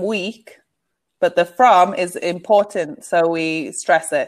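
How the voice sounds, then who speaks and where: Against a quiet background, a woman speaks very slowly at a medium pitch with ordinary pitch variation. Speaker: online English tutor. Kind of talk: online English lesson. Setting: video call. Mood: friendly, encouraging. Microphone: video call.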